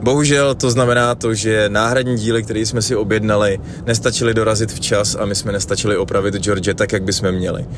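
Fairly quick, nearly pauseless speech from a man with a fairly low pitch and fairly even intonation, over noticeable background noise. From Czech Republic, Plzeň region. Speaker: traveller and radio podcast host. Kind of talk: spoken travel diary.

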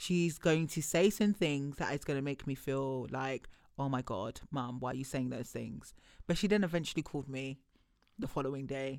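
A woman with a very deep, low voice speaks at a moderate pace with ordinary pitch variation, recorded very cleanly against a silent background. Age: 30s. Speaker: returning podcast guest, host's friend. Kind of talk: casual chat. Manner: talkative.

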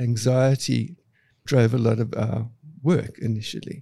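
At a very slow pace, a man speaks with a medium pitch, a dark, mellow tone and a somewhat breathy quality. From South Africa, Cape Town. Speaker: architect. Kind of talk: interview.

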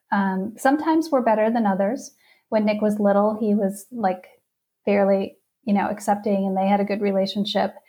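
A woman with a somewhat breathy, dark, mellow tone talks at a fairly quick pace and medium pitch. Her loudness stays very even, and her pitch varies in an ordinary way. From Wisconsin (outside Milwaukee). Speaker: parenting coach. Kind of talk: testimony.

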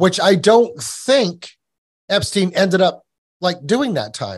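A man with a somewhat breathy voice speaks against a quiet background. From New England. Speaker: podcast host and researcher. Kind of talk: casual interview chat. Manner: repetitive, stammering restarts.

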